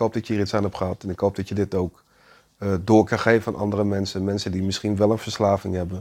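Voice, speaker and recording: Dark and mellow in tone, the voice comes through on a very clean recording with a silent background. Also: man. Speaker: podcast host on spirituality and personal growth. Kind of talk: personal monologue. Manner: halting, many fillers.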